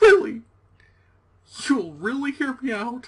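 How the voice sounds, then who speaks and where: Putting on a character voice, a man talks at an extremely high pitch and a fairly slow pace. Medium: actual play. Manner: rambling, nervous, joking.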